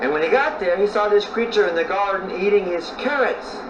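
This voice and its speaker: High-pitched male speech with noticeable background noise. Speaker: storyteller. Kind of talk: folk tale storytelling. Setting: outdoors.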